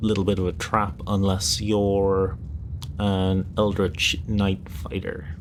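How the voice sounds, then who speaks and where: A man whispers quietly. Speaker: streamer. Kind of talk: casual livestream talk about tabletop games. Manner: hushed, whispery.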